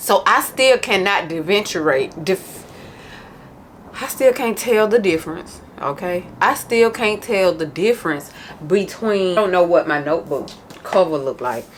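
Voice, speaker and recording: Over noticeable background noise, a woman with a medium pitch talks in an animated tone with lively intonation. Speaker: planner vlogger. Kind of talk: casual vlog chat. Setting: home office. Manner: loud.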